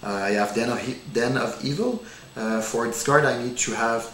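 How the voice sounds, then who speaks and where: The speaker has a French accent and ordinary pitch variation. Both audible room echo and noticeable background noise are present. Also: man. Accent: non-native English, French. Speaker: card game demonstrator. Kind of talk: tutorial. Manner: halting, many fillers.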